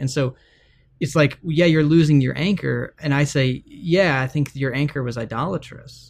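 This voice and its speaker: A normal speaking voice from a man with an American accent, fairly high in pitch, with fairly even intonation at a moderate pace. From Texas. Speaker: author and former pastor. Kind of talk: interview conversation.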